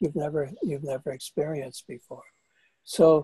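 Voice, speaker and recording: A man speaks with a fairly high pitch and a dark, mellow tone, somewhat breathy, with ordinary pitch variation. The sound is dry and close, with no echo. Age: 70s. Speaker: author and psychotherapist. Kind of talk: interview. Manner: halting.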